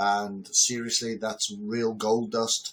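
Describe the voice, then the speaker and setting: In a northern English accent, a man speaks at a fairly slow pace and medium pitch. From northern England. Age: 60s. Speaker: entrepreneur and business lecturer. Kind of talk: direct-to-camera talk. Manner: loud; casual with fillers.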